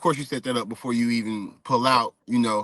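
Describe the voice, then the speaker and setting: A man's voice with ordinary pitch variation, dry and close with no echo. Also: quiet background. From US South, Stone Mountain, Georgia. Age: 30s. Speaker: former pro basketball player, expat. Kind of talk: interview. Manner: casual, relaxed with many fillers.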